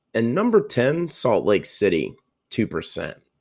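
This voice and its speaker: On a very clean recording with a silent background, a man with an American accent talks at a very slow pace. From US South (coastal Georgia). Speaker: podcast host. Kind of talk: solo podcast commentary.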